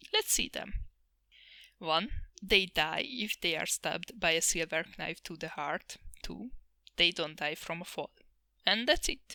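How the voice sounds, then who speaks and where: At a fairly slow pace, a woman with a non-native accent speaks in a bright, sharp tone, and the sound is dry and close with no echo. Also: very clean recording, silent background. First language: not English. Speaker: anime reviewer, vtuber. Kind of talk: sarcastic review monologue.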